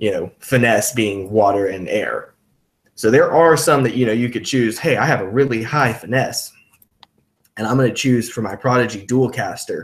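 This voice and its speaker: Pitched in the medium range, a man speaks at a moderate pace with ordinary pitch variation. His voice is somewhat breathy. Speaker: game designer and channel host. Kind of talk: casual live-stream chat. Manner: halting, many fillers.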